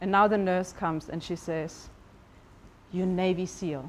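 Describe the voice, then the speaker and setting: Speaking with a German accent, a woman uses a fairly low pitch, ordinary pitch variation and a moderate pace. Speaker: life coach. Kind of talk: motivational talk. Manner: hesitant, with fillers.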